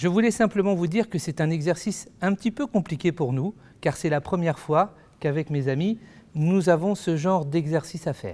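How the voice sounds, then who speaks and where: In a very clean recording with a silent background, a man speaks at a moderate pace. His high voice has a dark, mellow tone and ordinary pitch variation. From Ermont, Paris suburbs, France. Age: 50s. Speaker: mayor and political candidate. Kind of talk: campaign self-introduction. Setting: video meeting recorded without audience.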